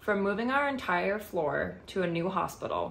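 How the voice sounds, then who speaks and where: The woman's voice has noticeable vocal fry. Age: 20s. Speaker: cosmetology student, former nurse. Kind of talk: scholarship application video, prepared statement. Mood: earnest, warm.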